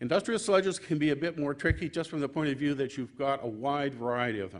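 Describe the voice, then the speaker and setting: Against a quiet background, a man with a fairly high pitch talks at a fairly quick pace with lively intonation. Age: 60s. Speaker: engineering technologist and business owner. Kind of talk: conference presentation.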